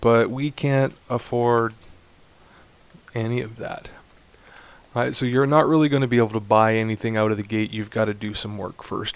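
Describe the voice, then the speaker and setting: A man talks in a normal speaking voice at medium pitch. His pace is moderate and his intonation fairly even. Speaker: video game tutorial creator. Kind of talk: gameplay tutorial. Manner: casual, thinking aloud.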